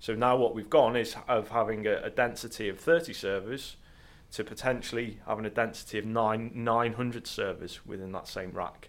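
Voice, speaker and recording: An unremarkable speaking voice moves at a moderate pace. Its intonation stays fairly even. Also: man, medium pitch for a man. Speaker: network systems engineer. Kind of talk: casual chat.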